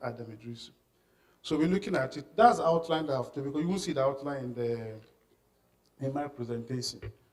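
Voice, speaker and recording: A man talks at a fairly high pitch with ordinary pitch variation. Room echo is audible. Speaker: workshop trainer. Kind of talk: lecture. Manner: halting, many repetitions and fillers.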